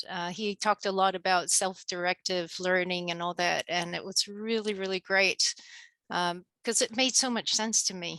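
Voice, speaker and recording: A woman's bright, sharp voice of medium pitch with fairly even intonation, dry and close with no echo, against a quiet background. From Argentina. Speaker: author and coach. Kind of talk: interview.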